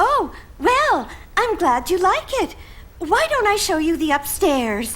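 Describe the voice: Light background noise sits behind this female-sounding cartoonish character voice, pitched extremely high with very wide swings. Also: fairly slow pace.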